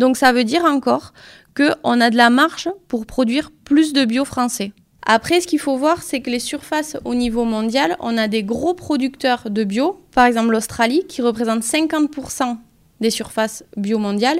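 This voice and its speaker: The speech goes at a fairly slow pace with ordinary pitch variation. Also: woman, high pitch for a woman. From southwest France (Pyrénées-Atlantiques). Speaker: organic farming advisor. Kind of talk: interview. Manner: hesitant, many fillers.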